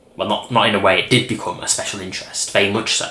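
A man is speaking with audible room echo. Light background noise can be heard. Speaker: vlogger. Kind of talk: casual vlog chat. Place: home room.

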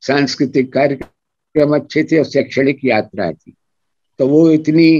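The man talks at a very slow pace in a fairly high pitch with a dark, mellow tone. The sound is dry, with no echo. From Mathura, Braj region, India; India. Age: 80s+. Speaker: veteran journalist; guest. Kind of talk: interview storytelling. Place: home room. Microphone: video call.

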